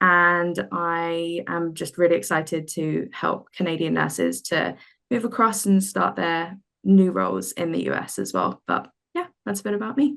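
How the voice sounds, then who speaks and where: This woman talks with a British accent at a moderate pace. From UK. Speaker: healthcare recruiter. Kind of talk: webinar presentation. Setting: online webinar.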